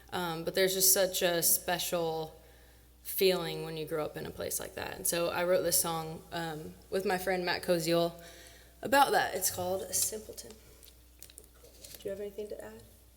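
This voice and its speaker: Speaking at a moderate pace with an American accent, this voice leaves long, frequent pauses, swings widely in loudness, and carries an audible room echo. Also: woman. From Illinois, small town south of Springfield. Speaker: singer-songwriter performer. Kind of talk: stage banter between songs. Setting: stage with audience.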